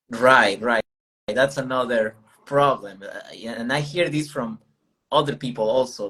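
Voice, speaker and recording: The man's pitch shifts in an ordinary way. He talks at a moderate speed. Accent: Spanish. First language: Spanish. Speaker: language learning channel host. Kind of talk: casual chat. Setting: livestream.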